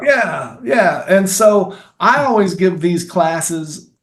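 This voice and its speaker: A man with a Kentucky accent. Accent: Kentucky Southern US. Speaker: filmmaker and actor. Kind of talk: interview answer.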